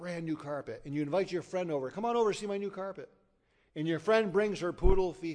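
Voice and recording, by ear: A passage read aloud in a natural voice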